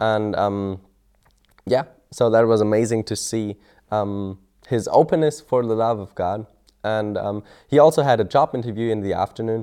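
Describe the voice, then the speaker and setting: A man with a German accent, fairly low-pitched and dark, mellow in tone, at a moderate pace with ordinary pitch variation over a quiet background. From Germany. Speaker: mission student. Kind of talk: testimony. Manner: halting.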